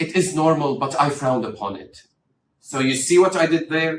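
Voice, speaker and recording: Speaking with an Arabic accent, the voice has lively intonation and a moderate pace. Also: man. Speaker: doctor. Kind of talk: tutorial. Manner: expressive intonation, demonstrates stress and rhythm.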